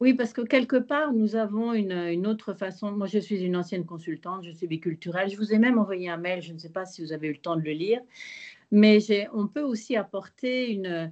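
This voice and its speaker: Over a quiet background, a woman talks at a fairly quick pace in a normal speaking voice, medium in pitch with ordinary pitch variation and big swings in loudness. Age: 60s. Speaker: prospective student, former consultant. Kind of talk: question in online Q&A.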